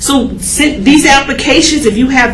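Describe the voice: Audible room echo surrounds a woman speaking at a high pitch. Her pace is fairly slow and her tone fairly bright.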